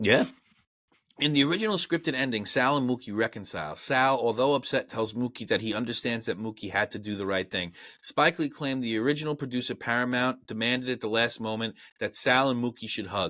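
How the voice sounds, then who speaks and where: On a very clean recording with a silent background, a man with a strong Brooklyn accent talks at a very fast pace in a bright, sharp tone, at medium pitch with ordinary pitch variation. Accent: thick Brooklyn. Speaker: movie review podcast host. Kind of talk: reading out film trivia; casual chat.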